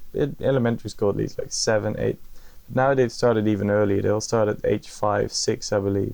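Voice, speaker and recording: A man with a Brabant accent at a fairly quick pace. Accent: Brabant Dutch, soft G. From Netherlands, North Brabant. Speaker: podcast guest. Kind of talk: casual interview chat.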